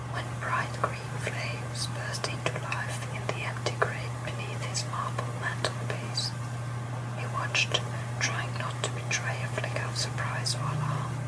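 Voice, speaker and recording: A woman whispering at a fairly slow pace, with noticeable background noise behind her. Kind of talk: sleep story. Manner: whispered.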